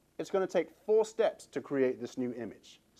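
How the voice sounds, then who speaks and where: Lively intonation carries this voice, spoken with an English accent. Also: man. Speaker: fitness trainer. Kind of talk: motivational talk.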